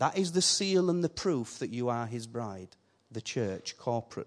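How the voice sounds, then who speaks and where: With a Yorkshire accent, a man speaks at a moderate pace with lively intonation. The background is quiet. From Yorkshire, northern England. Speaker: visiting preacher. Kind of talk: sermon. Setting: church. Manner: animated.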